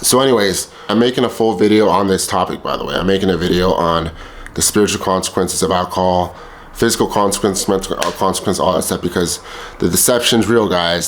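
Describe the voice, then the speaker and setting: Noticeable background noise accompanies a man speaking at a fairly low pitch with fairly even intonation. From El Salvador heritage. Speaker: vlogger. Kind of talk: personal testimony monologue. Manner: casual, with filler repetitions.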